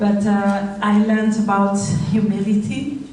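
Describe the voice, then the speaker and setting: At a very slow pace, the speaker talks with a French accent amid audible room echo and noticeable background noise. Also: woman. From Rwanda. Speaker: charity founder. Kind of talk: speech. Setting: stage with audience. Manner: halting.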